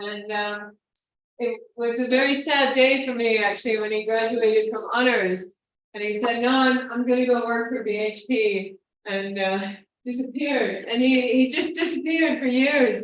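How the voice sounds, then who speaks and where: The voice is loud, with ordinary pitch variation at a moderate pace, and audible room echo. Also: woman, high pitch for a woman. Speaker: professor. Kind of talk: speaker introduction.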